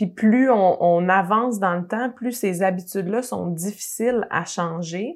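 A woman's medium-pitched voice in a Quebec accent, fairly slow with hardly any pauses and ordinary pitch variation. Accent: Québécois French. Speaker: podcast host. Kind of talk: interview.

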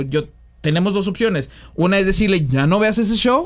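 Speaking at a moderate pace, a man with a high pitch uses lively intonation, captured in a very clean recording with a silent background. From Mexico, San Luis Potosí. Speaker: podcast host. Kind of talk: casual chat.

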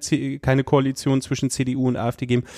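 A man's dark, mellow tone at medium pitch, with a dry, close sound, no echo, and a quiet background. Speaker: podcast host. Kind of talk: interview. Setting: office.

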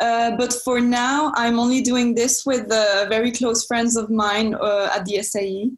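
A woman's fairly high voice in a French accent, at a fairly slow pace with hardly any pauses and very even loudness. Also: fairly even intonation. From France. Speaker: film student and entrepreneur. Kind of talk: interview. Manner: hesitant, many fillers.

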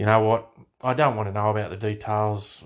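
Over a quiet background, the voice carries an Australian accent. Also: man. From Australia, Hunter Valley NSW. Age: middle-aged. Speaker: podcast host. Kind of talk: casual monologue. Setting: home bedroom. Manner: hesitant, many fillers.

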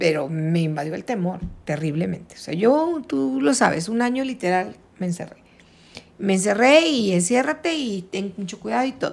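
A woman speaks at medium pitch with very wide pitch swings. Her pace is moderate. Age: 60s. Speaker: retired schoolteacher. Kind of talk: casual interview.

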